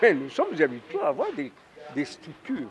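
A man's voice with very wide pitch swings and noticeable background noise. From DR Congo. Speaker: party official. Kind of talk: interview. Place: street. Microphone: handheld.

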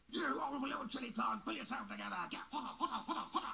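A put-on character voice, high-pitched and raspy, moves at a fairly quick pace over clear background noise. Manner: shouting, commanding.

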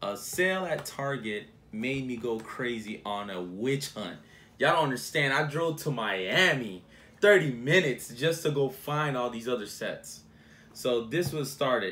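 A man talks at a fairly slow pace. His tone is bright and sharp, with lively intonation. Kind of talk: casual vlog chat. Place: home room. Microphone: phone near.

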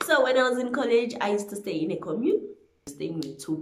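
Light background noise and audible room echo accompany a woman's voice. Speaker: vlogger. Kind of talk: casual vlog chat. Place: home room. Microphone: phone near.

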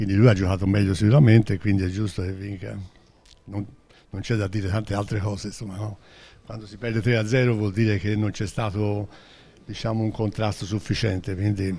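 Somewhat breathy, dark, mellow speech at a fairly quick pace, monotone and flat, with long, frequent pauses. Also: man, fairly low pitch for a man. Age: 80s+. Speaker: billiards player. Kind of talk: post-match interview. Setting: venue floor with spectators. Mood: calm, accepting defeat. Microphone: handheld.

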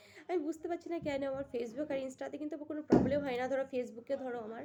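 Her voice high, this woman talks with ordinary pitch variation. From West Bengal, Purba Bardhaman (near Katwa). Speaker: social media vlogger. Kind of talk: casual vlog talk to camera. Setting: lying in bed under a quilt at home.

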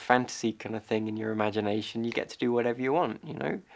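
Male speech with ordinary pitch variation and light background noise. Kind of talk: reflective monologue to camera. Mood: wistful, reflective.

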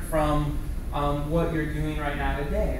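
A man's voice carries strong room echo along with noticeable background noise. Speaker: keynote speaker. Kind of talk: lecture. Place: classroom. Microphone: camera far.

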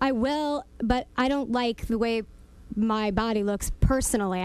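A woman speaks at a fairly slow pace with fairly even intonation, in a dry sound with no echo. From new to New York. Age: 30s. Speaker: radio show guest. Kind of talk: interview answer. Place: studio. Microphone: studio mic.

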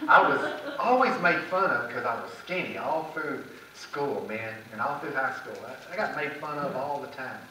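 Lively intonation carries the moderate-paced speech with hardly any pauses, audible room echo, and light background noise. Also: man, fairly high pitch for a man. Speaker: preacher. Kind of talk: church sermon. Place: church.

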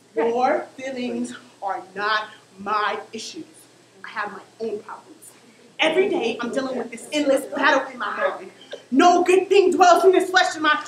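Her voice is high-pitched, with very wide pitch swings and big swings in loudness, and she is a woman with an American accent. Light background noise and audible room echo are present. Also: moderate pace. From Oakland, California. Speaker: spoken word poet and performer. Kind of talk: spoken word poetry performance. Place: stage. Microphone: camera far.

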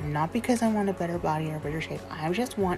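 Clear music plays in the background. Over it, a woman is speaking. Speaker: vlogger. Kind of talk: casual vlog chat. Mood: earnest, personal, faith-filled. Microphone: phone near.

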